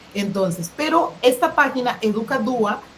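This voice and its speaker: Lively in intonation and fairly high in pitch, a woman is heard amid noticeable background noise and audible room echo. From Costa Rica. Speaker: education specialist. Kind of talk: lecture.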